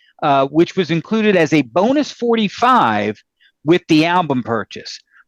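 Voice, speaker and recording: A man's voice, fairly high in pitch, swings very widely up and down. The sound is dry and close, with no echo. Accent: American. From Philadelphia, US. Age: 60s. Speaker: music podcast host, record collector. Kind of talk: casual chat.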